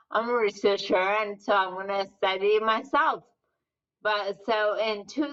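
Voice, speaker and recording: A woman is speaking. Her pitch is fairly high. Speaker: physician and researcher, author. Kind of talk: interview. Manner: slurred speech.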